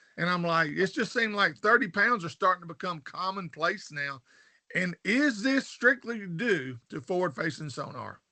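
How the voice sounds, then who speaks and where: Over a quiet background, a man with a high pitch and a bright, sharp tone talks at a moderate pace with lively intonation. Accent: Southern US. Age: 60s. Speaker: fishing show host. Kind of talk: interview.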